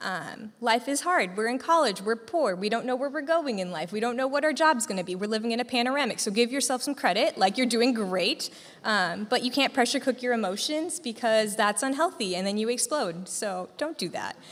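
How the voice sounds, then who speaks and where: With an ordinary speaking voice and an American accent, a woman talks at a fairly quick pace with hardly any pauses, her fairly high pitch carrying lively intonation. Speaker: graduating nursing student. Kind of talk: farewell speech to student group. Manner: casual, filler-heavy.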